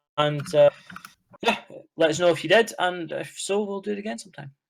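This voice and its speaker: With a Scottish accent, a man speaks at a fairly quick pace with ordinary pitch variation. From Scotland. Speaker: podcast co-host. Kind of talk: casual chat.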